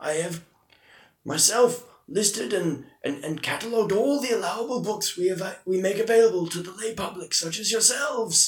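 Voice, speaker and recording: Speaking at a moderate pace, a man uses a put-on character voice pitched high. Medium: actual play. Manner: prim, dry.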